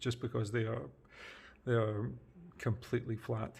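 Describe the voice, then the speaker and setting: Somewhat breathy, a man speaks at a fairly quick pace with a medium pitch and fairly even intonation. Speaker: tech reviewer. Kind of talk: product review. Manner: halting, many fillers. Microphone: janky budget setup, audio issues.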